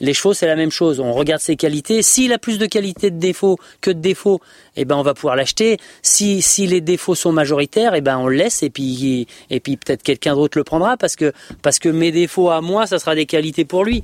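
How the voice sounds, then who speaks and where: In a dry, close sound with no echo, a man speaks at a fairly quick pace in a fairly high voice with lively intonation. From France, Isère. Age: 40s. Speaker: horse dealer and show jumping rider. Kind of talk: podcast interview. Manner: hesitant, many fillers and repetitions.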